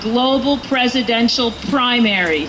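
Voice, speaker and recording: Noticeable background noise and audible room echo surround the recording. A woman with an American accent speaks at a high pitch. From US Northeast. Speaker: political campaign volunteer speaking at rally. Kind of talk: rally speech.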